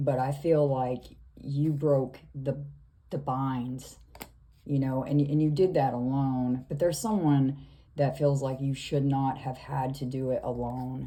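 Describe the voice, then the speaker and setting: In a room with audible echo, a woman with a very deep, low pitch talks at a fairly slow pace in a flat monotone. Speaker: tarot reader. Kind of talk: tarot reading monologue. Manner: slow, hesitant with fillers.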